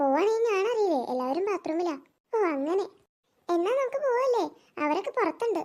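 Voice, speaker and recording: A woman does a squeaky, cartoonish character voice at an extremely high pitch, with very wide pitch swings, very even loudness and a moderate pace. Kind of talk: cartoon voice acting.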